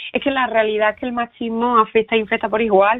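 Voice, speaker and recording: At a fairly quick pace and with fairly even intonation, a woman speaks in a fairly high pitch over noticeable background noise. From Andalusia, Spain. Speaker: writer and veterinarian. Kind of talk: interview.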